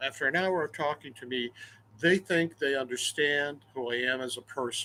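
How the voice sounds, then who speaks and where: The man's voice sits at a fairly high pitch, bright and sharp in tone. He keeps a moderate pace with ordinary pitch variation. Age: 70s. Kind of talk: personal monologue.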